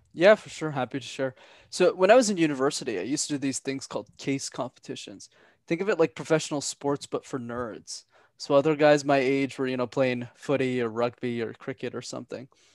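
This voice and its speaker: This man speaks at a fairly quick pace, his fairly high pitch moving with ordinary variation. The sound is dry and close with no echo, on a very clean recording over a silent background. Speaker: public speaking coach. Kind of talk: podcast interview. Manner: clear enunciation.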